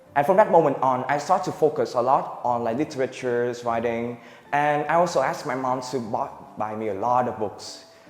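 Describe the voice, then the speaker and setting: With noticeable noise behind him, a man's mid-range voice shifts in pitch in an ordinary way. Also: fairly quick pace. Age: young. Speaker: student. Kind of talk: student presentation. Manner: halting.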